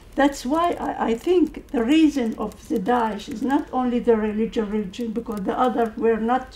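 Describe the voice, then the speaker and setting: Over noticeable background noise, a woman speaks at a moderate pace in a high voice. Her pitch moves in an ordinary way. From Syria (Kurdish). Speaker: audience member, Kurdish organisation president. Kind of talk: Q&A comment at policy panel. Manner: halting.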